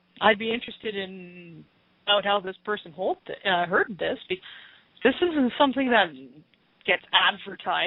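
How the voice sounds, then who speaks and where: A woman's medium-pitched voice at a moderate pace, with ordinary pitch variation and long, frequent pauses. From Canada. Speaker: channeler on extraterrestrial topics. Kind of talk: radio interview. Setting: Skype call into radio show. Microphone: distorted, breaking-up Skype connection.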